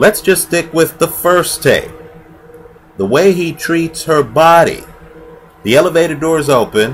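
Against music in the background, a man with a fairly high pitch speaks at a fairly slow pace, with ordinary pitch variation and long, frequent pauses. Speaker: video blogger and sports commentator. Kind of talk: opinionated monologue to camera, angry rant at the point flagged. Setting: online video, recorded solo. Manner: heated, emphatic and indignant, hammering points with repeated 'right?'; conversational, rhetorical, sarcastic. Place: home room. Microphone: headset.

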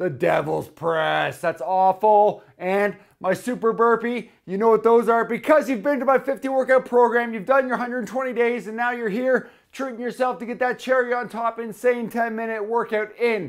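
This man talks at a moderate pace with hardly any pauses, his pitch extremely high and his intonation fairly even, over a quiet background. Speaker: fitness trainer. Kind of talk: workout video intro to camera. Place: gym. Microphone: lapel.

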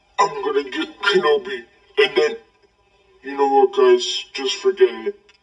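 In a cartoonish character voice pitched high, a man talks at a moderate pace. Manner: grumbling, petulant.

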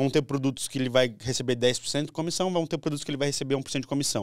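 A man is speaking. The sound is dry with no echo, over a quiet background. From Brazil. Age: 20s. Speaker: lawyer turned digital marketer and finance creator; podcast guest. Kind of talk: casual podcast interview. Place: studio. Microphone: studio mic.

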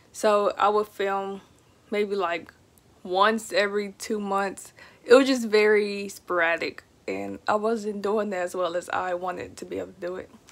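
A woman's voice with an American accent, monotone and flat, at a moderate pace. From Texas. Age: 20s. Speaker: pet YouTuber. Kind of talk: casual vlog monologue. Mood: relaxed, chatty. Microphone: phone near.

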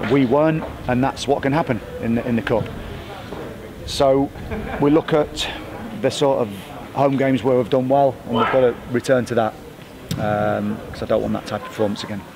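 Background noise is noticeable throughout. Against it, a man talks at a moderate pace. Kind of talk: interview answer. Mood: subdued, reflective after a disappointing result. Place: stadium. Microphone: handheld.

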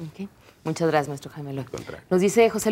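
A woman speaks at a very fast pace. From Mexico. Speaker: TV talk show host. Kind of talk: moderated panel discussion. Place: studio. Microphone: lapel.

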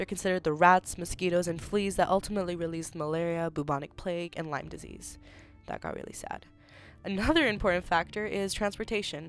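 A woman with a fairly low pitch speaks at a very fast pace with fairly even intonation. Her loudness swings widely, and music plays in the background. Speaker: university student. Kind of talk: school presentation narration.

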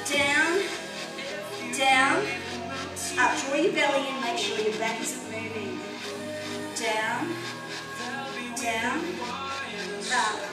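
A woman speaks at a very slow pace, with long, frequent pauses. Loud music plays in the background, and the room echo is audible. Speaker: fitness instructor. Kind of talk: exercise class cueing. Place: gym.

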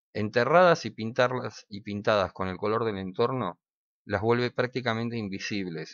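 A man speaks in an ordinary speaking voice at a medium pitch. His pace is moderate, with ordinary pitch variation. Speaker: survival/prepper YouTuber. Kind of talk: tutorial. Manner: casual, conversational.

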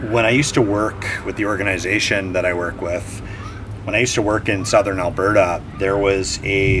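Noticeable background noise sits under this recording. A man talks at a fairly quick pace in a fairly low pitch. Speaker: vlogger exploring old buildings. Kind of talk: casual vlog chat. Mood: reflective, hopeful. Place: street.

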